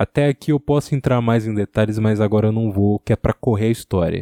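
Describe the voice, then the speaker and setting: The man has a dark, mellow tone, a fairly low pitch with ordinary variation, and a fairly quick pace. The recording is very clean, with a silent background and a dry, close sound with no echo. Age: 20s. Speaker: podcaster. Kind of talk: solo monologue.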